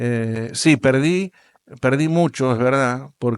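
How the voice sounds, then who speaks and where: Recorded dry and close with no echo, a man talks with normal rises and falls in pitch. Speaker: world motorcycle traveler. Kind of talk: interview. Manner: animated storytelling.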